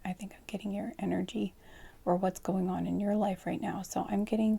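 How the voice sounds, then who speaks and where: A soft-spoken woman talks in a dark, mellow tone with vocal fry. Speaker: tarot card reader. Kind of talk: pick-a-card tarot reading for sleep.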